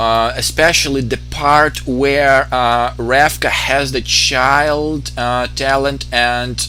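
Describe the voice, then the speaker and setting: A man with a non-native accent speaks at a very slow pace. Noticeable background noise and audible room echo surround him. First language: not English. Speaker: video game let's player. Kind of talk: gameplay commentary explaining lore. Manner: halting, many fillers.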